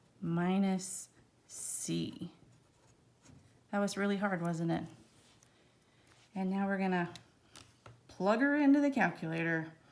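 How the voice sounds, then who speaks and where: With audible room echo, a woman speaks at a medium pitch and fairly slow pace, using ordinary pitch variation and long, frequent pauses. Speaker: math teacher. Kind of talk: lecture. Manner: casual, chatty.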